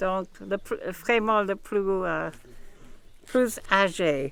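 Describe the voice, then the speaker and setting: A woman with an English accent, her intonation lively, her pace very slow. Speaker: ceremony organiser. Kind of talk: memorial ceremony address.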